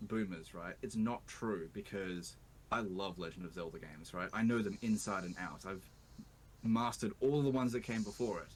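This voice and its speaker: With an Australian accent, a man speaks at a fairly low pitch and a moderate pace. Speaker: YouTuber, video game player. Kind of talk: interview. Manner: animated.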